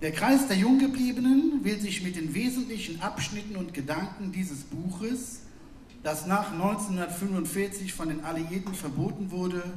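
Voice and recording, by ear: A man's high-pitched voice with ordinary pitch variation and audible room echo. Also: moderate pace, slightly mellow tone.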